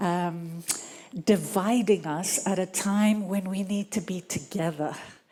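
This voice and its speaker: Noticeable background noise sits behind a woman at a medium pitch. She talks at a very slow pace with ordinary pitch variation. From Greece. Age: 60s. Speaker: audience member asking a question. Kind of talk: audience question at a festival panel. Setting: live event with audience. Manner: halting.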